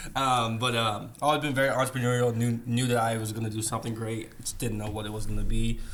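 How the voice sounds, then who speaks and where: The pace is fairly quick. Room echo can be heard. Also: man. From Netherlands. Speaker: video production business partner. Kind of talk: casual podcast interview.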